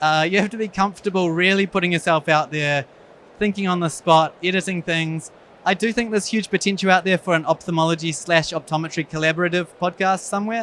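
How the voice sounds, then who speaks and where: With a New Zealand accent, a man talks at a very fast pace in a high pitch with ordinary pitch variation, recorded with a dry, close sound and no echo. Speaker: eye surgeon. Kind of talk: conference talk.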